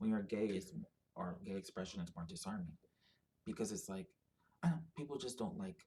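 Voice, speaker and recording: A somewhat breathy man speaks at a fairly quick pace, his pitch swinging very widely. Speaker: video blogger. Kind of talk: personal monologue. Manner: halting, many fillers.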